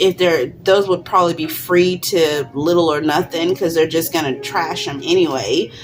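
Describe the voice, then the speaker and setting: Over music in the background, a woman with a fairly low pitch talks with hardly any pauses and ordinary pitch variation. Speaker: crafting YouTuber. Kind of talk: tutorial. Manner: halting, many fillers; casual, conversational.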